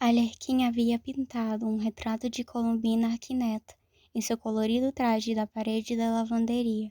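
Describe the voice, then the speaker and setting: A woman with a dark, mellow tone speaks at a fairly high pitch and moderate pace, with monotone, flat intonation and very even loudness. The sound is dry and close with no echo, in a very clean recording with a silent background. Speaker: audiobook narrator. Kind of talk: reading aloud. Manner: occasional slips in diction.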